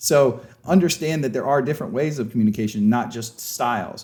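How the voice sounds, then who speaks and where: This man has a dark, mellow tone and lively intonation, talking at a moderate pace on a very clean recording with a silent background. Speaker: sports coach and leadership trainer. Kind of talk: lecture. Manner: loud; casual, conversational.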